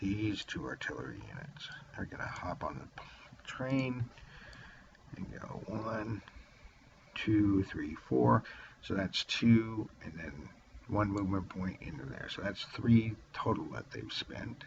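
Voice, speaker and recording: A man whispers quietly at a very slow pace, with long, frequent pauses. His loudness swings widely, and background noise is noticeable. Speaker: wargaming video host. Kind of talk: solo game playthrough narration. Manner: quiet, near whispering.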